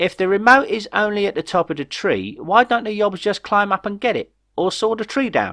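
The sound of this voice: Using a put-on character voice, a man talks at a fairly quick pace with a high pitch, a fairly bright tone and big pitch swings.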